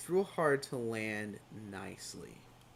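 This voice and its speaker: The man's voice moves in very wide pitch swings. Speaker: flight sim streamer. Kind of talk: casual livestream chat. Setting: live stream. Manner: hesitant, many fillers.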